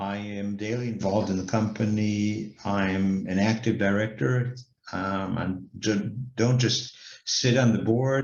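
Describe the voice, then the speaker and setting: Here a man talks at a very slow pace. His pitch is fairly low and his intonation fairly even. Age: 60s. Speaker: company director and investment banker. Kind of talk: interview monologue. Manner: hesitant, many fillers.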